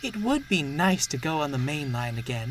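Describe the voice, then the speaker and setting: A man puts on a character voice with lively intonation over clear background noise. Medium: read story.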